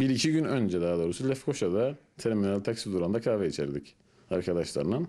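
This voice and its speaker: With a Turkish Cypriot accent, a man speaks very fast at a fairly low pitch in a dark, mellow tone, with very wide pitch swings and very even loudness against a quiet background. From Northern Cyprus, Famagusta; Northern Cyprus. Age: 30s. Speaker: construction worker; interviewee. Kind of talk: interview. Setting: at home. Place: home room. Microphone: handheld.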